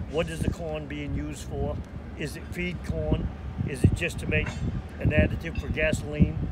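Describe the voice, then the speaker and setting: Loud background noise fills the recording. Through it, a man talks at a moderate pace. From Maine. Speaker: lobsterman. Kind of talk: interview answer. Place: waterside.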